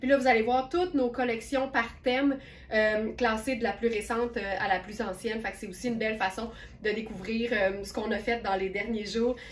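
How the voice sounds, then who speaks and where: Noticeable background noise accompanies a woman whose voice is fairly high in pitch. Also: fairly even intonation, moderate pace. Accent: Quebec. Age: 60s. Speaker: online clothing store owner and live sales host. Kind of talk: live-stream sales presentation. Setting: live stream. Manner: casual, chatty with filler hesitations.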